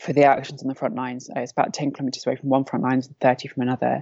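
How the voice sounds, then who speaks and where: This woman has a London accent and a very deep, low pitch. Her intonation stays monotone and flat. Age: 30s. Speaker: civil defence volunteer. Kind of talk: interview.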